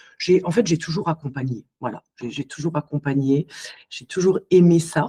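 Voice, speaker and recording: Somewhat breathy and dark, mellow in tone, a woman speaks at a moderate pace with fairly low pitch and ordinary pitch variation, in a dry, close sound with no echo. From Alsace, France. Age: 40s. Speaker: psycho-body therapist. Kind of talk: podcast interview. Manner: hesitant, many fillers.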